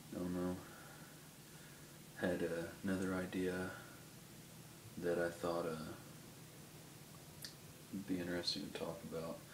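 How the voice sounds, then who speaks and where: A man's very deep, low voice, mumbling in a monotone, flat intonation at a fairly slow pace, with long, frequent pauses and noticeable background noise. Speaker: pipe smoker. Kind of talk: casual talk to camera. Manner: mumbly, hesitant.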